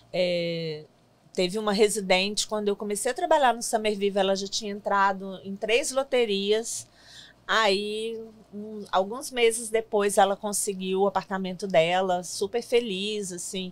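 Fairly slow speech from a woman, her intonation fairly even. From Brazil, Minas Gerais (Belo Horizonte); Minas Gerais, Brazil. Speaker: city immigrant-services worker, former interpreter; guest. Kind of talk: interview. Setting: studio. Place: studio. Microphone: studio mic.

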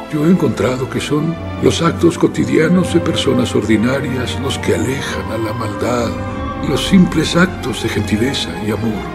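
With clear music in the background, a man talks at a fairly slow pace. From Mexico. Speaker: voice actor. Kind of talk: dubbed film dialogue. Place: booth. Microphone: studio mic.

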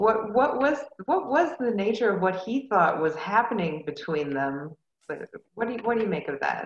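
A woman at a fairly high pitch with very wide pitch swings and a moderate pace. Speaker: librarian, discussion facilitator. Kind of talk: book club discussion. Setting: video call.

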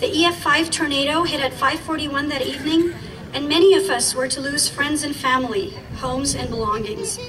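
Against noticeable background noise, a woman with a high pitch talks at a moderate pace. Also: ordinary pitch variation. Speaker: rally speaker, community member. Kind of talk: rally speech, warm and earnest, prepared remarks given to a crowd. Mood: earnest, solemn. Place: street.

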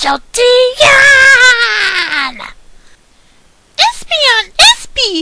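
Shouting in a cartoonish character voice, a woman belts out her lines. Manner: short repeated exclamations.

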